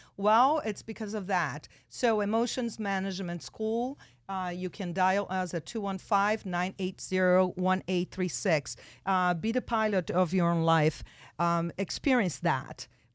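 In a Portuguese accent, a woman talks at a medium pitch. The recording is very clean with a silent background. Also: ordinary pitch variation, fairly slow pace. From Brazil, São Paulo. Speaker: radio talk show host. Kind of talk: radio interview. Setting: radio studio. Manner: animated.

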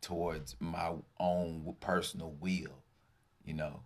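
The voice carries vocal fry and monotone, flat intonation. It moves at a fairly slow pace. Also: man. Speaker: podcast host. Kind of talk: casual interview.

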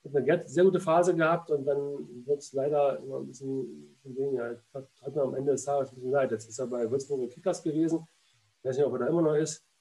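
A very fast man's voice with a fairly high pitch, a dark, mellow tone, fairly even intonation, and big swings in loudness. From Berlin. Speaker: former goalkeeper and goalkeeping coach. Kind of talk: casual interview. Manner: halting, with frequent repetitions and fillers.

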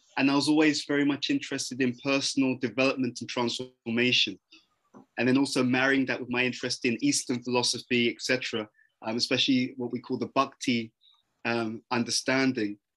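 In a London accent, a man of medium pitch talks fairly quickly in a monotone, flat delivery. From London, England. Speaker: personal development speaker. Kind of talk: interview conversation.

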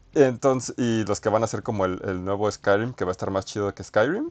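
Recorded with a dry, close sound and no echo, a man with a Mexican accent speaks at a medium pitch. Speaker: podcast host. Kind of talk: casual chat. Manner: halting.

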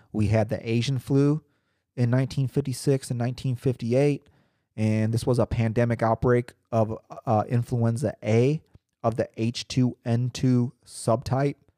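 With a dark, mellow tone and monotone, flat intonation, a man speaks at medium pitch and a moderate pace in a dry, close sound with no echo, in a very clean recording with a silent background. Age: 30s. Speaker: podcast host. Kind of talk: casual monologue. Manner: hesitant, many fillers and repetitions.

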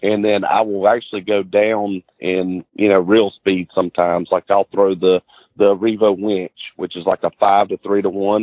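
A man with a Southern US accent, fairly low pitch, moderate pace and monotone, flat intonation. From US South, Florida Panhandle near Pensacola. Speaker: professional bass angler. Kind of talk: casual interview.

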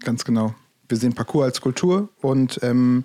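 The man's voice has a dark, mellow tone and a medium pitch. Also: very clean recording, silent background. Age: 30s. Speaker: parkour coach, podcast co-host. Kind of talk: casual chat. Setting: studio.

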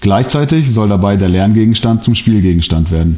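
A man's fairly low voice at a fairly quick pace over noticeable background noise. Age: 30s. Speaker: social worker. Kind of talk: prepared presentation. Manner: formal.

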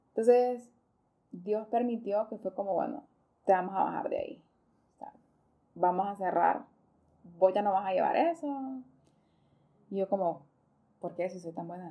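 A woman with a medium pitch speaks at a moderate pace with lively intonation, big swings in loudness and long, frequent pauses. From Honduras, Choluteca. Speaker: foundation coordinator. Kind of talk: casual interview.

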